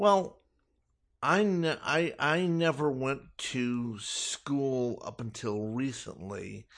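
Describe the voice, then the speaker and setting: Speaking at a very slow pace, a man with a Californian accent uses lively intonation. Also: fairly high pitch for a man, quiet background. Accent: General American (Californian). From Los Angeles, US. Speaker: self-taught chef. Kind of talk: interview. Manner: hesitant, many fillers.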